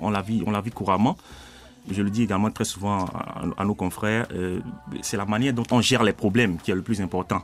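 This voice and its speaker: A man's fairly low voice moves at a fairly quick pace, its intonation fairly even. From Benin. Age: 30s. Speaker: student and rapper. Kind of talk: interview. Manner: halting, with many fillers.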